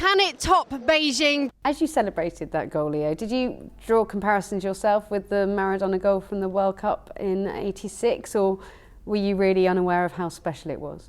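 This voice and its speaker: In a plain, everyday voice, a woman with a medium pitch talks at a moderate pace with lively intonation and hardly any pauses. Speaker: sports reporter and presenter. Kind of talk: sports broadcast presenting and interviews.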